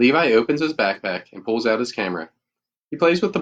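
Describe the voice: Against a quiet background comes plain reading aloud with lively intonation.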